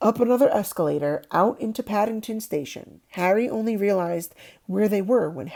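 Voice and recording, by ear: The reading is aloud in a natural voice. Intonation is lively.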